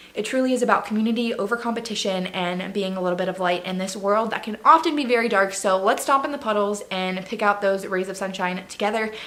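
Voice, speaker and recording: The delivery is very fast and animated, with hardly any pauses. Pitch varies in an ordinary way, and background noise is noticeable. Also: woman, medium pitch for a woman. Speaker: faith and lifestyle vlogger. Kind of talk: casual vlog monologue.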